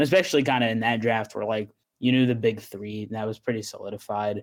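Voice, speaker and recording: In an ordinary speaking voice, a man of medium pitch speaks at a fairly quick pace with fairly even intonation on a very clean recording with a silent background. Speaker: podcast guest. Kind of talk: casual chat about basketball and news.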